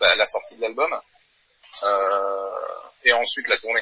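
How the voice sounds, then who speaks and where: A man's voice comes across in a dry, close sound with no echo. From New Caledonia. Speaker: metal band drummer. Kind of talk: interview.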